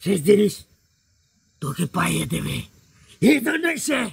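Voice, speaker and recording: A man puts on a character voice that is raspy and high-pitched. He keeps to a moderate pace. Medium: game stream. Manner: defiant then cringing.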